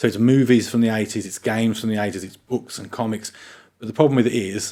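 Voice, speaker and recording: A man with a Birmingham accent talks at a very fast pace in a medium pitch, his intonation fairly even but his loudness swinging widely. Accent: Birmingham (Brummie). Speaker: gaming podcast co-host. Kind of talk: casual chat.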